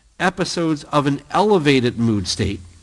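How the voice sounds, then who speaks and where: Over a quiet background, a man with an ordinary speaking voice talks at a moderate pace, his fairly high pitch carrying lively intonation. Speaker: psychology professor. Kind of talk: lecture.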